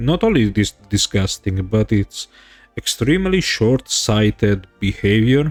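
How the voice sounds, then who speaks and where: A man's lively, strongly Italian-accented speech at a fairly slow pace, dry and close with no echo, over background music. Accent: thick Italian. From Italy. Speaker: streamer. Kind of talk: livestream political commentary. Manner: hesitant, non-fluent English.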